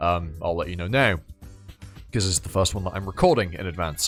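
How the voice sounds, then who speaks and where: A man's voice over background music. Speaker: voice actor. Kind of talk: casual talk to camera.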